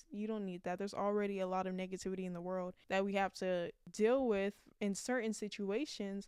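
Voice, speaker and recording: An ordinary speaking voice: a woman at a medium pitch, fairly quick pace and fairly even intonation. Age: 20s. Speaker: podcast host. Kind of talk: casual chat.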